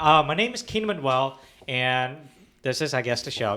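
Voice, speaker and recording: Here a man speaks in an ordinary speaking voice at medium pitch. His pace is moderate. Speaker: podcast host. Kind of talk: casual chat.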